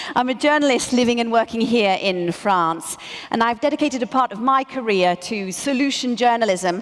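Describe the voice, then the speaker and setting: In a British accent, a woman with a fairly high pitch talks at a moderate pace with ordinary pitch variation. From Britain. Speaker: journalist and ceremony presenter. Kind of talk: award ceremony presenting.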